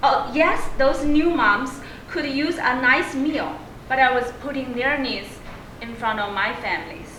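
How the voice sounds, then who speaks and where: Over noticeable background noise and audible room echo, a woman with a Chinese accent speaks very slowly in a raised, projected, high-pitched voice with lively intonation. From China. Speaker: public speaking club member. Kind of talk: prepared speech.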